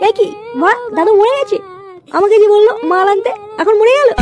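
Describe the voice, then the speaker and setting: Over clear background noise, a woman puts on a cartoonish character voice at an extremely high pitch, talking at a fairly quick pace with very even loudness. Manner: theatrical, overdone grief.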